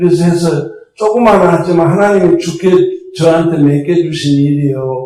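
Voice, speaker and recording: With audible room echo, a man talks at a moderate pace in a high pitch, using ordinary pitch variation. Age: 70s. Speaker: pastor. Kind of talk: sermon. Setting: church. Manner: animated.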